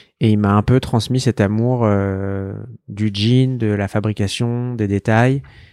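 On a very clean recording with a silent background, a man speaks very slowly in a dark, mellow tone with fairly even intonation. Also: fairly low pitch for a man. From Paris, France. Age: 20s. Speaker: fashion brand founder. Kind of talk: casual interview. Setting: in a shop.

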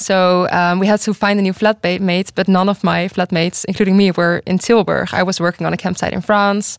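A woman with a Dutch accent speaks at a fairly quick pace in a medium pitch with monotone, flat intonation, in a dry, close sound with no echo on a very clean recording with a silent background. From Netherlands. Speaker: university student. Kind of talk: panel discussion. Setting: studio.

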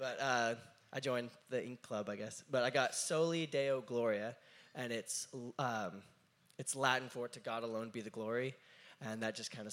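Here a man with a normal speaking voice speaks at a moderate pace and medium pitch, his intonation fairly even. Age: 20s. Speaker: drummer and worship leader. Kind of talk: interview. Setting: stage with audience.

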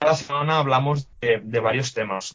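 Here is a man with an ordinary speaking voice. He talks at a moderate pace with ordinary pitch variation. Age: 20s. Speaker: WordPress developer and podcaster. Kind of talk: casual interview.

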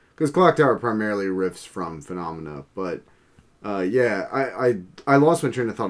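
At a moderate pace, a man with a fairly low pitch speaks in a normal speaking voice. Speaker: podcast co-host. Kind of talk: casual chat.

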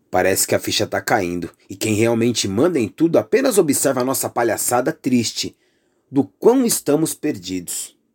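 Heard in a very clean recording with a silent background and a dry, close sound with no echo, a man speaks at a moderate pace in an intense tone with very wide pitch swings. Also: medium pitch for a man. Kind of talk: spoken word poetry, political and accusatory. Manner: intense, indignant, declamatory with pointed emphasis.

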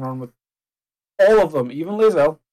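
Here a man talks at a very fast pace. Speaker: gaming podcast co-host. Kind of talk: casual chat.

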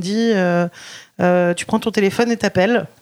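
This woman's pitch is medium. Her delivery stays monotone and flat. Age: 30s. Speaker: restaurant owner. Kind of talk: interview. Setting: in a restaurant. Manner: hesitant, many fillers.

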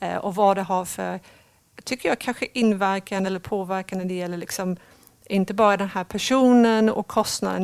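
A woman speaks at a fairly quick pace with a medium pitch. The recording is very clean, with a silent background. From Sweden. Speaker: talent acquisition leader. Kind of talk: interview.

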